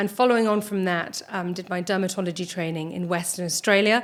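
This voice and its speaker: A woman speaks at a medium pitch with a British accent and fairly even intonation. The recording is very clean, with a silent background. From United Kingdom, Irish parents. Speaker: dermatologist and skin cancer surgeon. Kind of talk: interview. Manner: hesitant, many fillers.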